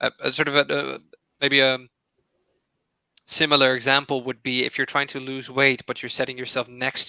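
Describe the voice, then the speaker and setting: A man of medium pitch speaks in a bright, sharp tone against a quiet background. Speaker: psychologist. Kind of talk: webinar Q&A answer. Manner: fast.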